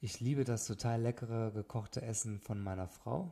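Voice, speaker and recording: On a very clean recording with a silent background, a man speaks at a moderate pace in a medium pitch with a dark, mellow, somewhat breathy tone. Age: 30s. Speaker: wedding photographer, podcast host. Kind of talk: solo podcast monologue. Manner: hesitant with frequent fillers.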